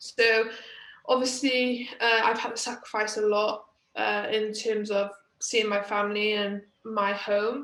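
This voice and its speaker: A woman with a Welsh accent speaks at a fairly slow pace in a fairly high pitch, her intonation monotone and flat. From Wales. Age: 20s. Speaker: badminton player. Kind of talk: interview. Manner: hesitant, many fillers.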